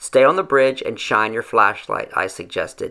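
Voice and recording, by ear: Here a text is read aloud in a natural voice.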